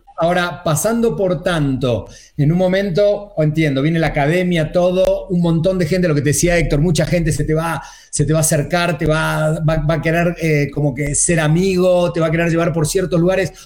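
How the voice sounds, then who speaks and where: A man with a high pitch, fairly even intonation and very even loudness, with audible room echo. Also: moderate pace. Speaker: online show co-host. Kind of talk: casual chat.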